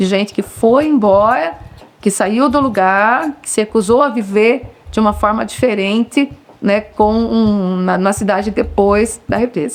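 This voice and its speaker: The voice has ordinary pitch variation and very even loudness over noticeable background noise. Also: woman, fairly high pitch for a woman, fairly slow pace. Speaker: local resident interviewee. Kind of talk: documentary interview testimony.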